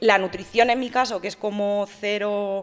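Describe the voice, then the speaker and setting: Here a woman speaks at a medium pitch. Her pace is fairly slow. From Spain, Madrid. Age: 30s. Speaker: fitness influencer and bodybuilding competitor; fitness influencer. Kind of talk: interview. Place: studio. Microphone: studio mic.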